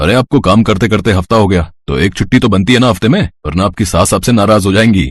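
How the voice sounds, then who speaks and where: A man uses a put-on character voice, fairly low in pitch with ordinary pitch variation and very even loudness. He talks at a fairly quick pace, and the sound is dry and close with no echo. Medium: read story. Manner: polite, warm.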